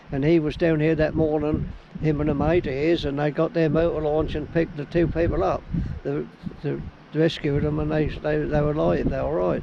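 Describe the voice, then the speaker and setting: A man with a Suffolk accent speaks at a fairly quick pace amid noticeable background noise. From Suffolk, England. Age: 80s+. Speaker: harbour master. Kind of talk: interview answer.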